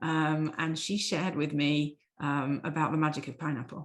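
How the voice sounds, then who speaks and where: A woman with an English accent speaks at a very deep, low pitch. The background is quiet. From England. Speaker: dentist. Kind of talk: podcast interview.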